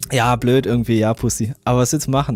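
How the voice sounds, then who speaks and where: Music plays behind a man speaking with a strong German accent. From Germany. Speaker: music producer and stream host giving track feedback. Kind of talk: live stream track feedback, casual chat. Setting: live stream.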